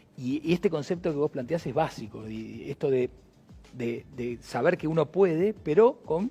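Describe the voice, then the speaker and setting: With music in the background, a man with a fairly high pitch speaks at a moderate pace with lively intonation, the sound dry and close with no echo. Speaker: talk show host. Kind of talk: live interview. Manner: halting, many repetitions.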